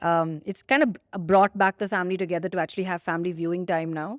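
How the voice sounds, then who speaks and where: Speaking very fast with an Indian accent, a woman sounds dry and close, with no echo. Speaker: company founder and CEO, podcast co-host. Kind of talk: casual podcast conversation. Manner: enunciates carefully.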